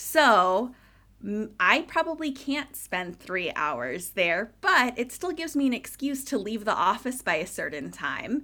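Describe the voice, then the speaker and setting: A woman with an American accent has a fairly high pitch and a bright, sharp tone. Her voice shows vocal fry and very wide pitch swings. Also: fairly slow pace. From California. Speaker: burlesque performer and podcaster. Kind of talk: casual interview chat.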